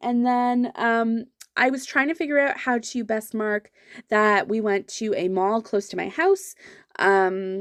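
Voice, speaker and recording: In a Canadian accent, a woman talks with a fairly high pitch, ordinary pitch variation and a plain, everyday voice. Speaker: planner vlogger. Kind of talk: casual chat.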